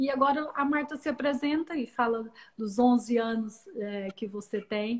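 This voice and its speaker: Woman in a Brazilian accent, fairly high in pitch with ordinary pitch variation, at a fairly slow pace. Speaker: live-stream host. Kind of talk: live-stream interview.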